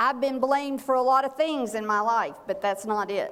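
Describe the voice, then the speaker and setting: A woman speaks at a moderate pace in a high pitch. Her pitch variation is ordinary. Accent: Southern US. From North Carolina (small town). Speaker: clergywoman and church safety trainer. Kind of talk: seminar talk. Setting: church meeting with audience.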